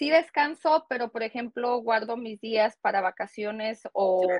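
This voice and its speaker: Against a quiet background, a woman speaks fairly slowly at a fairly high pitch with ordinary pitch variation, the sound dry with no echo. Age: 30s. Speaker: GED graduate and cosmetologist; interviewee. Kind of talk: interview. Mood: proud, encouraging. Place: home room. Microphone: earbuds.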